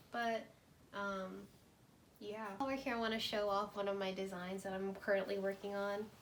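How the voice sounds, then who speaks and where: Room echo can be heard around her voice. The woman talks at a moderate speed. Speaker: fashion design student and vlogger. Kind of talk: casual vlog narration. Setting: at home in her room. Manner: casual, chatty.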